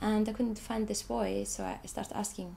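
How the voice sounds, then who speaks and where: A woman speaks with an Icelandic accent. Her pace is moderate. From Iceland, Reykjavik. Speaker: artist, photographer. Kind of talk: interview about own artwork. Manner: halting, many repetitions.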